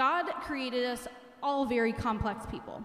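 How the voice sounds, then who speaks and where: Audible room echo surrounds a woman speaking at a fairly slow pace. Her voice is high-pitched. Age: 40s. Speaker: religious education teacher. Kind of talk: retreat talk to teens. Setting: church with audience. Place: church. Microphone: handheld.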